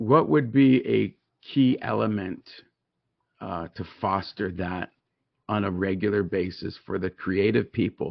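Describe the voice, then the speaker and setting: A man speaks fairly slowly at a fairly low pitch, with vocal fry and ordinary pitch variation. He leaves long, frequent pauses. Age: 50s. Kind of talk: casual faith conversation. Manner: animated, preachy.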